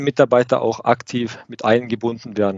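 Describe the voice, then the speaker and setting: A man at a moderate pace. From Lake Constance region, southern Germany. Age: 30s. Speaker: production manager. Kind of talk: interview podcast conversation. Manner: hesitant with many fillers.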